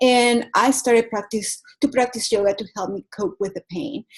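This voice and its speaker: A woman with a Venezuelan accent speaks at a high pitch and a moderate pace. Her pitch varies in an ordinary way. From Venezuela, Caracas. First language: Spanish. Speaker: yoga teacher and wellness coach. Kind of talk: motivational talk.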